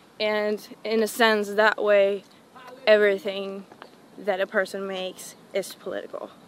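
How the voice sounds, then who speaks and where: A woman with a Swedish accent, medium pitch and monotone, flat intonation, at a fairly slow pace over noticeable background noise. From northern Sweden. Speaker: musician. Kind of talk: casual interview.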